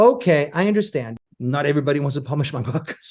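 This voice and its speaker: Against a quiet background, a man speaks with fairly high pitch and lively intonation. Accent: Spanish. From Chile, raised in exile abroad. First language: Spanish. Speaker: filmmaker and author. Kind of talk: podcast interview. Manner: animated, with frequent repetitions.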